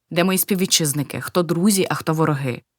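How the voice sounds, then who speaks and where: Speaking at a moderate pace, a woman has a normal speaking voice with fairly low pitch and ordinary pitch variation. The recording is very clean, with a silent background. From eastern Ukraine, Luhansk. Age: 60s. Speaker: war refugee, pensioner. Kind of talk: testimony.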